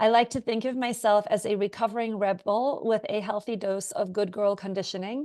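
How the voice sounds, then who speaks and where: Against a quiet background, a woman with a dark, mellow tone and fairly high pitch talks at a fairly quick pace with hardly any pauses. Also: ordinary pitch variation. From South Africa and other countries. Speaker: clinical psychologist and communication trainer. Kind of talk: webinar presentation. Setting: video webinar. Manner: casual, with frequent fillers.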